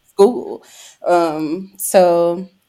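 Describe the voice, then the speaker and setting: A woman with an American accent has a dark, mellow tone, captured in a very clean recording with a silent background. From eastern North Carolina. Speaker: therapist and podcast co-host. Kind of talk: casual chat.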